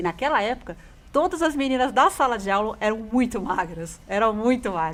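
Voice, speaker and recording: At a moderate pace, a woman uses a normal speaking voice with a fairly high pitch and lively intonation. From São Paulo state, interior (caipira), Brazil. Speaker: radio host. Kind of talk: personal testimony on a radio talk show.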